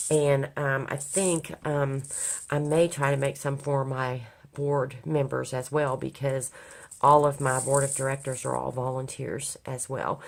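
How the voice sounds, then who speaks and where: A monotone, flat delivery at a fairly slow pace, on a very clean recording with a silent background. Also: woman, very deep, low pitch for a woman. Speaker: crafting YouTuber and nonprofit volunteer coordinator. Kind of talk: casual craft vlog. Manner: hesitant, many fillers.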